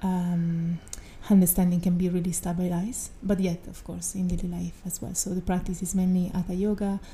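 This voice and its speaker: A woman talks with an Italian accent. Her intonation is monotone and flat. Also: medium pitch for a woman, fairly quick pace. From Italy. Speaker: yoga and meditation teacher. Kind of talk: casual chat.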